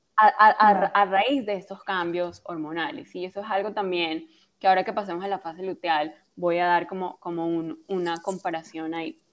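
With hardly any pauses, the speech moves at a moderate pace with ordinary pitch variation. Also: woman, medium pitch for a woman. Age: 30s. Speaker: health and hormone coach. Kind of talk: interview. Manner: soft, gentle.

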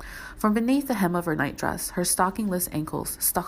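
This clip has a natural reading voice.

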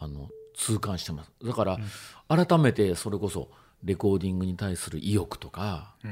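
A man speaks in a fairly low, somewhat breathy voice at a moderate pace, his intonation lively. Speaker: DJ and music producer. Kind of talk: casual chat. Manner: halting.

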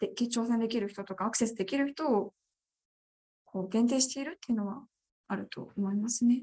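A woman's fairly high voice, dark and mellow in tone, moves at a fairly quick pace broken by long, frequent pauses. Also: ordinary pitch variation, dry, close sound with no echo. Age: 20s. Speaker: parliamentary candidate. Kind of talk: interview.

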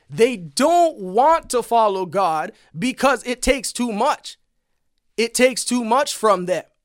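Over a very clean, silent background, a man with an extremely high pitch and an intense tone speaks at a fairly slow pace with lively intonation, the sound dry and close with no echo. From Canada. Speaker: podcast preacher. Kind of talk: preacher rant, fervent sermon-style exhortation. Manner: intense, emphatic, urgent; repetitive, hammering key phrases.

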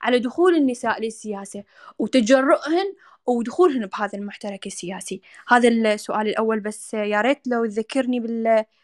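A woman with an Iraqi accent speaks at a fairly high pitch and a moderate pace, with ordinary pitch variation. The recording is dry and close, with no echo. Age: 20s. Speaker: women's rights activist. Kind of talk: panel discussion.

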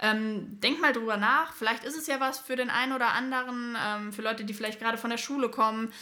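The delivery is very fast, with hardly any pauses. Intonation stays fairly even. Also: woman, fairly high pitch for a woman. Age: 20s. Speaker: paramedic and firefighter trainee. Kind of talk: casual chat. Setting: studio, in person.

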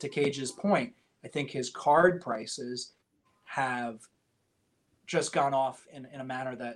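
A man with an American accent and a normal speaking voice, at a moderate pace. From upstate New York (Poughkeepsie). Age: 30s. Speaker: auction house executive. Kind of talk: podcast interview.

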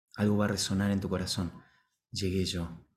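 A man speaks at a fairly quick pace in a very deep, low pitch, somewhat breathy. His intonation is monotone and flat, and audible room echo surrounds him. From Argentina, Buenos Aires. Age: 40s. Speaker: ontological coach, organization director. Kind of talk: talk to online audience.

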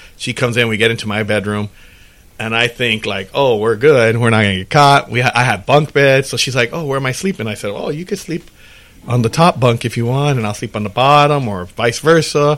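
A man with an unremarkable speaking voice talks at a fairly quick pace, his pitch varying in an ordinary way. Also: medium pitch for a man. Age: 40s. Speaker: podcast host. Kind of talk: casual chat.

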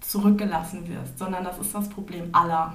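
The voice moves at a moderate pace with monotone, flat intonation, heard with audible room echo and noticeable background noise. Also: woman. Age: 20s. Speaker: student and trainee teacher, podcast guest. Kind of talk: podcast interview, partly academic explanation. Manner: hesitant, many filler sounds.

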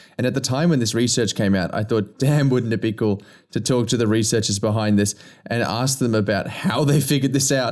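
A man speaks in an ordinary speaking voice, at medium pitch with ordinary pitch variation. His moderate pace comes through on a very clean recording with a silent background. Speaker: podcast host. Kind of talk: casual interview.

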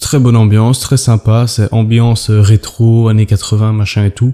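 The sound is dry and close with no echo. A man speaks at a fairly slow pace with a dark, mellow tone and fairly even intonation. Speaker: travel podcaster. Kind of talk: casual solo monologue. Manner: halting, many hesitations.

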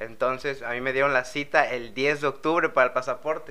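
A man's medium-pitched voice, a normal speaking voice, with fairly even intonation. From Mexico, Veracruz. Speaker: exchange student. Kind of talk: casual chat.

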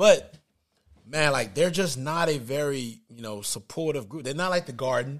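With big swings in loudness and an animated tone, a man speaks at a fairly high pitch with ordinary pitch variation. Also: moderate pace.

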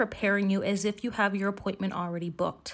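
Using a normal speaking voice, a woman talks at a fairly quick pace with a medium pitch. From United States. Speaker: podcast host and citizenship consultant. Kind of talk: scripted educational podcast.

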